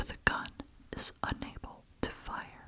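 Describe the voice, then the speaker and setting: A woman is whispering. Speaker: ASMR creator and reader. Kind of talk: ASMR horror story reading.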